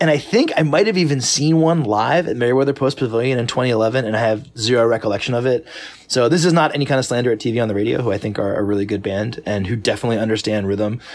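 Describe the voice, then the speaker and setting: Male speech at medium pitch, very fast with hardly any pauses and ordinary pitch variation, over noticeable background noise. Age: 40s. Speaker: pop music critic and musician. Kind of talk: casual chat.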